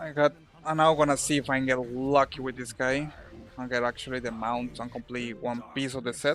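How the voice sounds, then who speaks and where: A man's medium-pitched voice with a Spanish accent, fairly quick and in a monotone, flat intonation. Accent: Spanish accent, noticeable. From Colombia. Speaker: video game streamer. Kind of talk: casual live-stream chat while gaming. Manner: halting, with fillers and repetitions.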